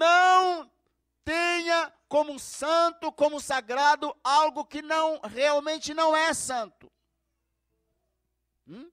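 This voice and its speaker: A man with an extremely high pitch and a bright, sharp tone uses a raised, projected voice with ordinary pitch variation. He speaks very slowly with long, frequent pauses, and the sound is dry and close with no echo. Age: 60s. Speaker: pastor. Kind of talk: sermon.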